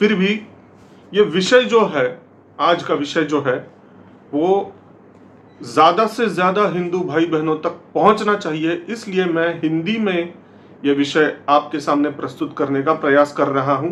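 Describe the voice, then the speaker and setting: A man talks with a high pitch. His pitch moves up and down in an ordinary way. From Maharashtra, India. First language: Marathi (speaking Hindi). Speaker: political commentary YouTuber. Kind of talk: political commentary monologue. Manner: hesitant, with filler sounds.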